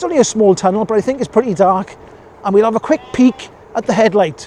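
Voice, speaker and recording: Someone with a Welsh accent speaks over noticeable background noise. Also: man. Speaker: e-bike reviewer. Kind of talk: ride-along review commentary. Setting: outdoors on a bike. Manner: casual, chatty.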